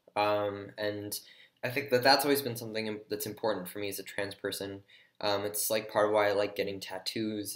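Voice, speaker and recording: Fairly quick speech in a monotone, flat intonation, on a very clean recording with a silent background. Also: man. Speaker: vlogger. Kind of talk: personal vlog. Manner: hesitant, many fillers.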